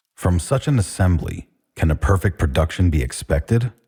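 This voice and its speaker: A man with a very deep, low voice speaks at a moderate pace, his tone dark and mellow with vocal fry. His intonation is lively, and the sound is dry and close with no echo. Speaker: audiobook narrator. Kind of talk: speech reading.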